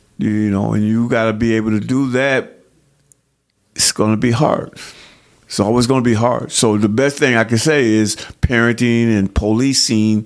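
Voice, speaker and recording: With an American accent, a man talks at a moderate pace in a normal speaking voice. His medium pitch follows fairly even intonation. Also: very even loudness. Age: 60s. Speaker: counselor and youth coach. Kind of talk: podcast interview.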